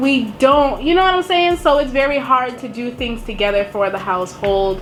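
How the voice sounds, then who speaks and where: A woman with an American accent speaks at a moderate pace, her pitch high with very wide swings. Noticeable background noise and audible room echo are present. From Boston. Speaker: YouTuber. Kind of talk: casual chat.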